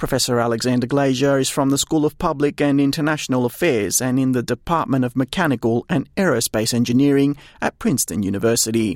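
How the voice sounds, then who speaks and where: A man with an Australian accent and a medium pitch, talking at a fairly quick pace in a very clean recording with a silent background and a dry, close sound with no echo. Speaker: news reporter. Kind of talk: broadcast news reading, scripted and polished. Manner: formal, measured, steady and neutral newsreader delivery.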